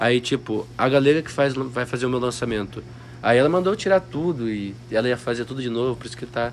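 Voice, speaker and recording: This man talks at a fairly quick pace in a medium pitch, with big swings in loudness and a normal speaking voice. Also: ordinary pitch variation. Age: 20s. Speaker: copywriter. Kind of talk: casual chat. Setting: mansion house.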